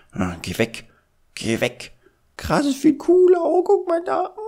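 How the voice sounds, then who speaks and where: This is a put-on character voice pitched high. It moves at a fairly slow pace. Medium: dub. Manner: playful, excited.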